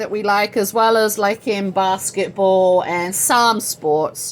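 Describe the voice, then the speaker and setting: With an American accent, a woman speaks in an animated tone. Her pace is fairly slow. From England. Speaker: social media host, nonprofit founder. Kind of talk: casual livestream chat. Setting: home livestream on social media. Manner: chatty, animated.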